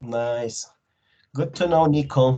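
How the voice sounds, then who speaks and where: In a Colombian accent, the speaker talks at a fairly slow pace. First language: Spanish. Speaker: English teacher. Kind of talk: online class discussion. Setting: video call.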